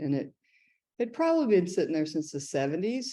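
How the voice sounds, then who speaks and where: In an American accent, a woman speaks with a dark, mellow tone against a quiet background. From US South, small towns in Georgia. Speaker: ceramic artist. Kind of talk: artist talk with slides. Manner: casual, many fillers.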